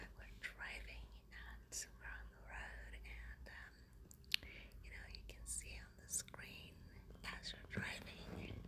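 A woman speaks at a very slow pace. Noticeable background noise runs behind her. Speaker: ASMR creator. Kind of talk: casual talk to camera, ASMR show and tell. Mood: excited, enthusiastic. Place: car. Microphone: phone near.

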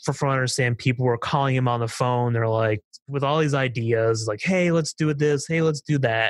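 In a plain, everyday voice, a man with an American accent speaks at medium pitch and a moderate pace, with ordinary pitch variation and a dry, close sound with no echo. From eastern Pennsylvania, Nazareth. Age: 20s. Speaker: racetrack preservation activist. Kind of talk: casual interview.

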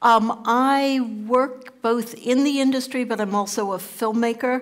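A woman with a New York accent speaks at a fairly slow pace with ordinary pitch variation. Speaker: documentary producer. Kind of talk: panel discussion. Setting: stage with audience. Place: stage. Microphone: headset.

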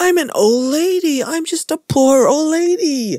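The put-on character voice sits at a high pitch and moves at a moderate pace. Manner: whiny, self-pitying.

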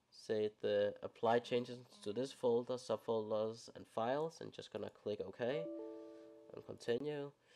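Music plays behind a man speaking at a fairly slow pace. His pitch sits in the medium range. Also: big swings in loudness. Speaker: gaming YouTuber. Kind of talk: casual tech tutorial voiceover.

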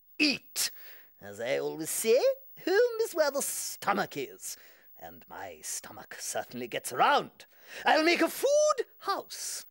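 The cartoonish character voice moves along at a fairly slow pace. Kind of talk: children's TV puppet comedy. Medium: comedy sketch. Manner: bossy, enthusiastic.

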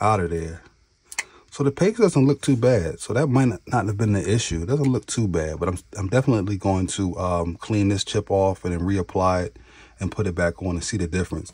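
Somewhat breathy, a man's fairly low voice moves with lively intonation. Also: fairly quick pace. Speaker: tech YouTuber doing laptop repair. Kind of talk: tutorial. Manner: casual, conversational.

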